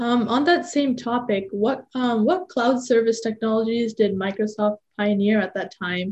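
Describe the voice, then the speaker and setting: Her voice is fairly high and somewhat breathy, as a woman speaks in a dark, mellow tone. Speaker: podcast host. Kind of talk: interview.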